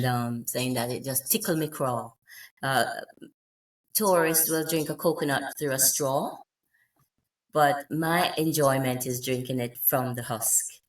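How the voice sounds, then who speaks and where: This woman's voice sits very deep and low. She leaves long, frequent pauses. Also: ordinary pitch variation, fairly slow pace. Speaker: poet and author. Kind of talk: interview answer.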